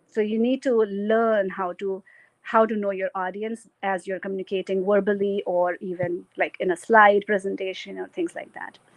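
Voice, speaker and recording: Medium pitch and a moderate pace from a woman with a plain, everyday voice. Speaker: keynote speaker. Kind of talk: keynote talk.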